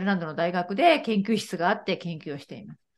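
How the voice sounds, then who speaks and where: A woman at a fairly quick pace. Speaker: Japanese teacher. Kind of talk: casual chat.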